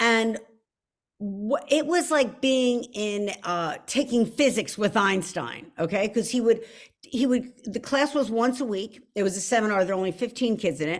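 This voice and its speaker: A woman with a Philadelphia accent speaks at a moderate pace in a fairly high pitch. Her tone is animated and her intonation lively. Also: very clean recording, silent background. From Philadelphia, US. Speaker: author. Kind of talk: author talk.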